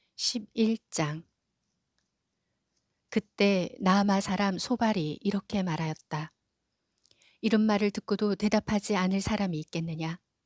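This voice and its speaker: Pausing long and often, a woman speaks at a very slow pace and a medium pitch with ordinary pitch variation on a very clean recording with a silent background. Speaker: office worker. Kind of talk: scripture reading.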